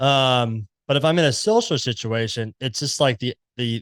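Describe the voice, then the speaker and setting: In a Southern US accent, a man talks at a moderate pace, with a dry, close sound free of echo on a very clean recording with a silent background. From US South, Memphis, Tennessee. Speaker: podcast host. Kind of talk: casual interview chat.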